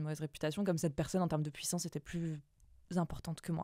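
A woman's very fast speech with a fairly low pitch and a dark, mellow tone, over a quiet background in a dry sound with no echo. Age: 20s. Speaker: copywriter; podcast guest. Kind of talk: interview. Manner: halting. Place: studio. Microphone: studio mic.

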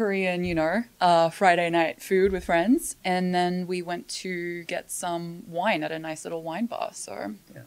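In an Australian accent, a woman speaks at a fairly low pitch and a fairly slow pace with fairly even intonation and hardly any pauses. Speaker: podcast co-host. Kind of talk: casual chat; reading aloud. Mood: friendly, relaxed. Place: studio. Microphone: studio mic.

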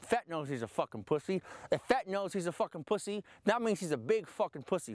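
A man speaks with very wide swings in pitch. The sound is dry, with no echo. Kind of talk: animated profane rant to a group. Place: open country.

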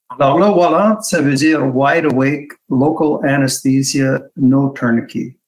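A man with a fairly high pitch and an English accent, at a very slow pace, over a quiet background. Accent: English-speaking accent in French. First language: English (speaking French). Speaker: hand surgeon, webinar speaker; webinar speaker. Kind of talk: presentation in webinar. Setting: video call webinar. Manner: halting, many hesitations. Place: home room. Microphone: video call.

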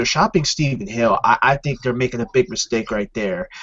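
There is some breathiness in this voice. It belongs to a man. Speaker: football fan. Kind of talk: casual chat. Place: home room. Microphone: webcam.

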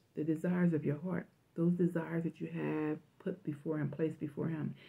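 A woman with a fairly low pitch and a dark, mellow, somewhat breathy tone speaks at a moderate pace with fairly even intonation. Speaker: religious vlogger. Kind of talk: prophetic message, sermon-like vlog talk. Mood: fervent, emotional. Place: home room. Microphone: phone near.

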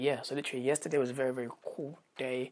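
With a British accent, a woman speaks at a moderate pace in a very deep, low pitch and a monotone, flat intonation. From UK. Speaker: vlogger and pop culture YouTuber. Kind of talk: casual vlog to camera. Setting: home, bedroom. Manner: rambling, many fillers. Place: home room. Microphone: phone near.

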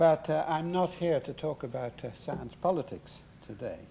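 At a fairly slow pace, a man talks in a high-pitched voice. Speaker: lecturer. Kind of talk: lecture. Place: hall. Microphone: podium.

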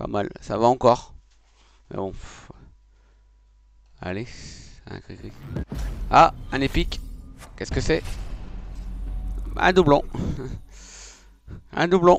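Delivered at a very slow pace with long, frequent pauses, the voice swings very widely in pitch, the sound dry with no echo and light background noise behind it. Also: man, fairly high pitch for a man. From northern France. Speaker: video game streamer. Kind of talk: casual gaming commentary. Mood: joking, mildly frustrated. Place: home room. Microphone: headset.

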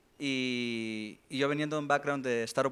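A man of medium pitch talks at a moderate pace with ordinary pitch variation. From Honduras. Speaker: smart contract developer, community founder; panelist. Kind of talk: panel discussion. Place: stage. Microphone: handheld.

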